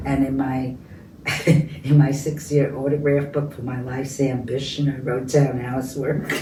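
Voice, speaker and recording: With noticeable background noise behind it, the voice moves at a moderate pace in a New York accent. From New York City, the Bronx. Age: 80s+. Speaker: peace activist. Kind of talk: interview.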